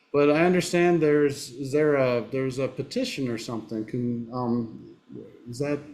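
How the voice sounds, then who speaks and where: Speaking at a moderate pace and a medium pitch with ordinary pitch variation, a man has a slight Southern US accent. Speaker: podcast host, diagnostics specialist. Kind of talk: podcast panel discussion.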